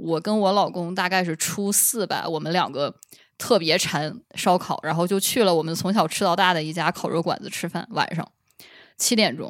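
A woman talks at a moderate pace with a fairly low pitch and ordinary pitch variation, in a plain, everyday voice. The recording is very clean, with a silent background. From Northeast China, Shenyang. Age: 30s. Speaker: PhD researcher. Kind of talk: casual chat.

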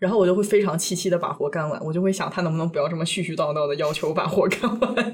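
A woman speaks at a very fast pace with hardly any pauses, in a medium, somewhat breathy voice. Her pitch varies in an ordinary way. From China. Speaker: podcast co-host. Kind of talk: casual chat.

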